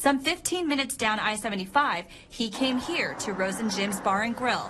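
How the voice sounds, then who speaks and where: A woman with an American accent, fairly high pitch and lively intonation at a moderate pace, over noticeable background noise. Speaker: TV news anchor and reporter. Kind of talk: field reporter package voiceover.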